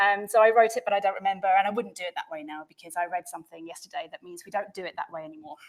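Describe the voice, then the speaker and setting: A woman talks at a very fast pace in an animated tone with lively intonation. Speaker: developer advocate, conference speaker. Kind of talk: conference talk. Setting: stage with audience.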